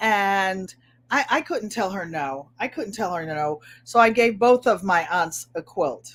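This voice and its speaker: A woman with a New England accent, medium pitch, very wide pitch swings and a fairly slow pace, on a very clean recording with a silent background. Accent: New England twang. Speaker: craft video host. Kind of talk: casual chat. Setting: live stream.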